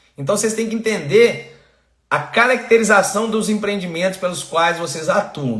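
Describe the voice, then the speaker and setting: A man speaks at a moderate pace in a high, animated voice with ordinary pitch variation, and the room echo is audible. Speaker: environmental consultant and online course host. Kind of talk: live-stream lecture. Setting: live stream. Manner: animated, engaging.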